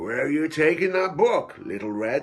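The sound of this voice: A man uses a gruff, put-on character voice at a fairly high pitch and a moderate pace.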